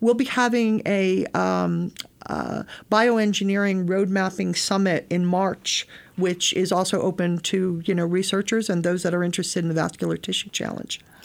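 A woman with an American accent talks in a plain, everyday voice at medium pitch and a moderate pace, her intonation fairly even. The recording is very clean, with a silent background. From US Northeast, Connecticut (Bridgeport). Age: 60s. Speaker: space agency program lead. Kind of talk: interview conversation.

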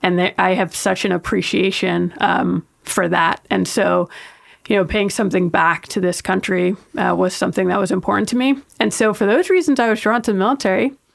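A woman with a New York accent speaks at a fairly quick pace and medium pitch. Her loudness stays very even, and her voice shows vocal fry. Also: ordinary pitch variation. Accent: New York American. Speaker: astronaut. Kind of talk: interview.

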